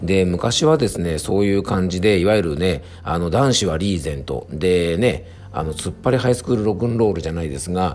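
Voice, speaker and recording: A man talks at a fairly quick pace with a very deep, low pitch. His intonation is lively and his tone relaxed. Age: 40s. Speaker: herbal medicine pharmacist and podcast host. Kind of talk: casual monologue. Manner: relaxed, filler-heavy.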